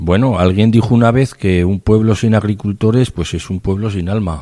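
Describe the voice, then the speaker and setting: A man's dark, mellow voice at a fairly low pitch, with ordinary pitch variation. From Navarre, Spain (Tudela). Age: 50s. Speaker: farmer. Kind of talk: interview testimony.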